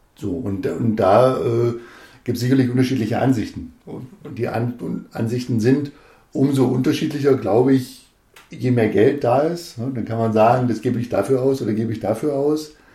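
At a moderate pace, a man speaks in a somewhat breathy voice with a dark, mellow tone and a medium pitch. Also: ordinary pitch variation. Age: 40s. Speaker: district administrator candidate, politician. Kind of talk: casual chat.

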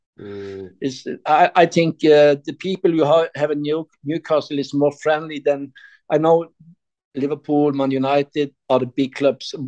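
A man with a Norwegian accent and a fairly high voice speaks at a fairly slow pace with ordinary pitch variation, in a dry, close sound with no echo. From Norway, Sandnes near Stavanger. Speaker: football fan guest, shop owner. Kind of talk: interview.

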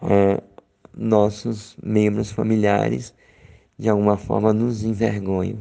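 A man's fairly low voice, dark and mellow in tone, with ordinary pitch variation and a fairly slow pace. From Brazil, Sergipe (Aracaju). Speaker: podcaster exchanging audio letters. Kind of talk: audio letter, personal reflection. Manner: reflective, with many fillers.

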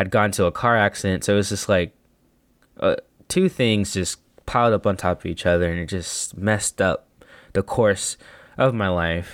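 In an American accent, a man talks at a moderate pace with a fairly low pitch, the sound dry and close with no echo. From El Paso, Texas. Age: 20s. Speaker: podcast host. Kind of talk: solo reflective monologue. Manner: monotone, reflective.

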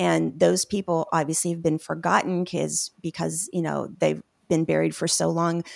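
A woman with an American accent speaks at a moderate pace. The recording is very clean, with a silent background and a dry, close sound with no echo. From US South, Tennessee (Memphis area, small town). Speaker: brand strategist and photographer. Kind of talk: interview. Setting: live radio/podcast broadcast.

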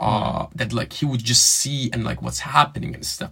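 This man talks while noticeable background noise fills the recording. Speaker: student podcast host. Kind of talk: casual chat. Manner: hesitant, filler-heavy.

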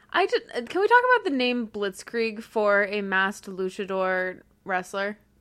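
At a fairly slow pace, a woman speaks with a Mid-Atlantic accent. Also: medium pitch for a woman, fairly even intonation. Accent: general American, Mid-Atlantic. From US Mid-Atlantic. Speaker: podcast co-host. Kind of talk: casual chat, wrestling podcast.

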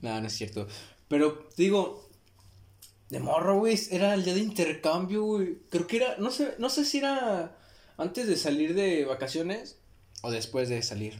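With a Mexican accent, a man talks at a fairly slow pace and high pitch, using very wide pitch swings. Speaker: podcast co-host. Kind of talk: casual chat. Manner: animated.

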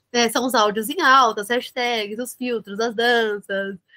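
A woman at a fairly slow pace with a fairly high pitch and a bright, sharp tone, in a dry, close sound with no echo. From Brazil, São Bernardo do Campo (São Paulo ABC region). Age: 20s. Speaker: fashion marketing entrepreneur and influencer. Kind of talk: interview. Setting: video call.

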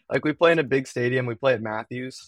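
At a fairly quick pace, a man with an American accent speaks in a dry, close sound with no echo and a quiet background. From US West Coast (East Bay, California). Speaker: college club hockey goaltender. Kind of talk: casual interview.

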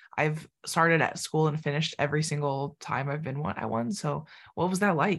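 Her voice sits very deep and low for a woman, with vocal fry and ordinary pitch variation. She talks at a fairly quick pace against a quiet background. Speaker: podcast host. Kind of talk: casual interview chat.

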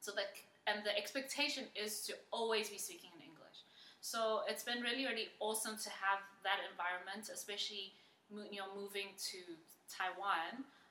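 A woman speaks at a moderate pace in a medium pitch with ordinary pitch variation. Her loudness swings widely, and the room echo is audible. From South Africa, Johannesburg. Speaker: teacher. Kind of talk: casual interview.

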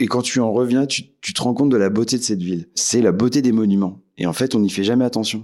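A medium-pitched man at a very fast pace, hardly any pauses, ordinary pitch variation, in a very clean recording with a silent background. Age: 40s. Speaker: café owner. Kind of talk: interview. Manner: hesitant.

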